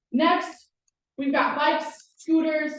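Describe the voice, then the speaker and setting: A woman is speaking. Room echo is audible. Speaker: campus police officer. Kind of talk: presentation. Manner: fast.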